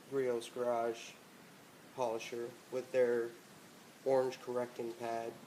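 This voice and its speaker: A man's medium-pitched, flat monotone at a very slow pace, with noticeable background noise and audible room echo. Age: 30s. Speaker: car detailing hobbyist. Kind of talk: tutorial. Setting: home garage. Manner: casual, hesitant with fillers.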